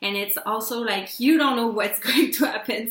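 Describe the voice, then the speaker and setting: In a Quebec French accent, a woman is speaking. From Quebec, Canada. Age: 20s. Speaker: PR company owner. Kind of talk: casual talk to camera.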